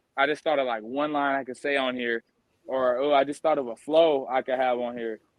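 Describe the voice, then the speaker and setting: A man is talking. He has a fairly high pitch. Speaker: rapper. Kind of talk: interview. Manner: gets higher when hyped.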